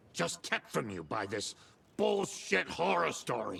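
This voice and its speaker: Growling in a put-on character voice, a man of medium pitch speaks fairly slowly with very wide pitch swings. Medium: video game. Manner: gruff, brash.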